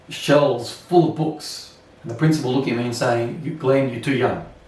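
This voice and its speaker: A man with an Australian accent speaks at a fairly slow pace. Room echo is audible. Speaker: Anglican priest. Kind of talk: sermon. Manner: self-conscious speaker.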